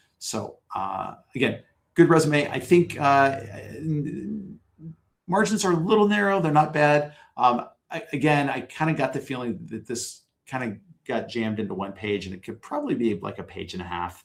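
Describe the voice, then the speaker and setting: This man's fairly high voice swings very widely in pitch and greatly in loudness, broken by long, frequent pauses. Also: moderate pace. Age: middle-aged. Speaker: community consultant reviewing CVs. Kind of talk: live workshop feedback. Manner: halting, many fillers and repeats.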